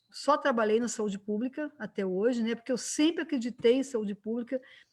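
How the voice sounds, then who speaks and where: Her pitch fairly high with ordinary variation, a woman talks at a fairly quick pace. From Brazil, Minas Gerais (Juiz de Fora). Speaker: physician and lecturer, civic council member. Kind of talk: online panel discussion. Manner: conversational, many fillers (né).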